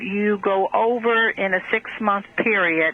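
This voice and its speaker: Noticeable background noise sits behind a woman who speaks very slowly with fairly even intonation. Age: 60s. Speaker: caller. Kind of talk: phone-in question. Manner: halting.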